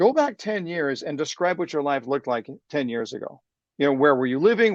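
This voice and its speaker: Against a quiet background, a man with a fairly high pitch talks at a fairly quick pace with lively intonation, the sound dry and close with no echo. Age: 60s. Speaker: sales trainer and speaker. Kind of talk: interview. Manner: energetic.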